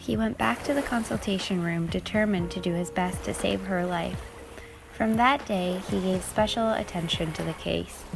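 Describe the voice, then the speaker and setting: With music in the background, a woman speaks at a moderate pace in a calm, soothing tone. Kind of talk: calming storytelling aloud, ASMR-style.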